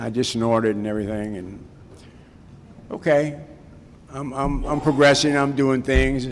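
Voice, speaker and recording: Moderate pace with audible room echo. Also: man. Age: 60s. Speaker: recovery speaker at a Cocaine Anonymous event. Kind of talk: personal testimony talk. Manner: casual storytelling with repetitions.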